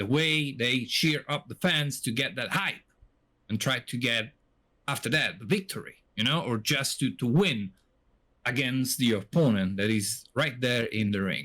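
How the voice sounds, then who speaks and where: Speaking at a fairly slow pace with an Italian accent, a man with a medium pitch has a bright, sharp tone and lively intonation. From Italy. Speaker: podcast co-host. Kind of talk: casual podcast chat.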